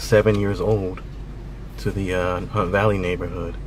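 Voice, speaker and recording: In a dry sound with no echo but noticeable background noise, a man with a fairly low voice speaks at a fairly slow pace in a monotone, flat intonation. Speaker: vlogger. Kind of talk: casual vlog chat. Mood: reflective, nostalgic. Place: car. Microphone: phone near.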